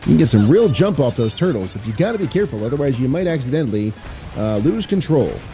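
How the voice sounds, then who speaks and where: Music plays behind a man talking at a very fast pace. His pitch swings very widely. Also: medium pitch for a man. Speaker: former voice actor, gamer. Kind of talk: casual let's play commentary.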